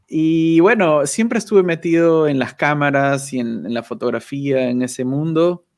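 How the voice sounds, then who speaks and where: This man's fairly high voice moves at a fairly slow pace with lively intonation and hardly any pauses. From Peru, Lima. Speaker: YouTuber, communications professional. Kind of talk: casual interview chat. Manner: halting, with fillers and repetitions.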